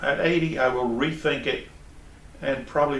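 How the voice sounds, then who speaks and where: A man with a New York accent at a moderate pace, with audible room echo and noticeable background noise. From New York City, Brooklyn. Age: 70s. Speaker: traveling auditor. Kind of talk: interview. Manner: halting, repeats words.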